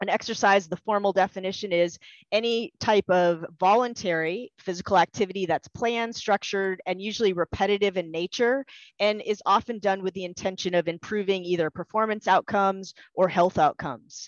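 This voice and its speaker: Against a quiet background, a woman talks at a fairly quick pace with fairly even intonation, the sound dry with no echo. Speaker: presenter. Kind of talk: lecture. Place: home room. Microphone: headset.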